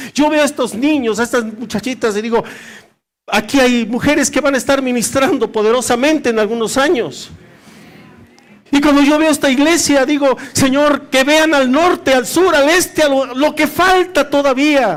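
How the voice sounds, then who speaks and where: At a moderate pace and very even loudness, a man speaks in an extremely high voice with an animated tone and ordinary pitch variation. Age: 60s. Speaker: pastor. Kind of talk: sermon. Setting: church.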